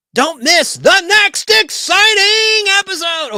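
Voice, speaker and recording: Putting on a character voice, a man speaks at an extremely high pitch. His pace is fairly slow. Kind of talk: dramatic serial-trailer delivery. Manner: over-the-top, exaggerated.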